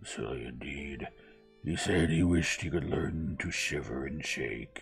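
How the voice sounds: A man puts on a character voice at an extremely low pitch, with vocal fry and ordinary pitch variation. He talks at a fairly slow pace over faint background music.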